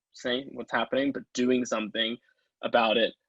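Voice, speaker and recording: Speaking at a moderate pace with an American accent, a man keeps a medium pitch and a monotone, flat intonation, with a dry, close sound and no echo. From Texas. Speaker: advertising account manager. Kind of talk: casual interview chat. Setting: video call. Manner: many fillers and false starts.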